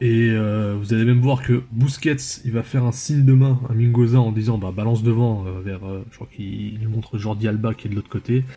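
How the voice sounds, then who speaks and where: Talking at a fairly quick pace with hardly any pauses, a man uses a medium pitch and a dark, mellow tone, somewhat breathy, his intonation fairly even. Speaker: football analysis youtuber. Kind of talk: tactical match analysis video. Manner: hesitant, many filler sounds.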